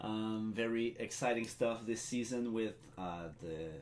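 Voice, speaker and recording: A man's medium-pitched voice with a French accent, plus audible room echo. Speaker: draft co-host, league department head. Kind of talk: live draft broadcast.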